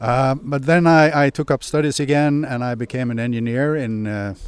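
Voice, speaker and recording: A man with a Swedish accent speaks with ordinary pitch variation. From Sweden, Hedemora. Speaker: retired mining executive, company director. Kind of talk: interview. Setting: on location. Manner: halting.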